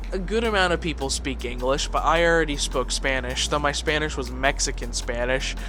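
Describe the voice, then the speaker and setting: Moderate-paced speech from a man with an American accent, over noticeable background noise. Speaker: English teacher and content creator. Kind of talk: casual storytime monologue. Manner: animated, with many fillers and repetitions.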